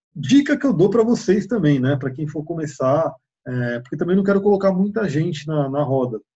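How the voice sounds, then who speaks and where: This man's voice has a dark, mellow tone, somewhat breathy, and a fairly high pitch. He speaks at a moderate pace with ordinary pitch variation. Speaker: shamanism teacher. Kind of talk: online open class. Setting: online video call.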